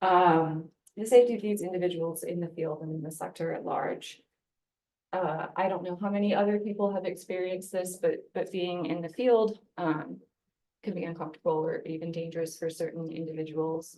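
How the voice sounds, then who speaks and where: In a plain, everyday voice, a woman with an American accent talks at a fairly quick pace and a fairly low pitch, her intonation fairly even. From United States. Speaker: conservation scientist. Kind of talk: conference talk.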